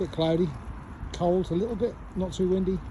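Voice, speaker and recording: A man speaks in a relaxed tone at a moderate pace. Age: 60s. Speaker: vlogger. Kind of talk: casual vlog to camera. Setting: outdoors. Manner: relaxed, hesitant with fillers.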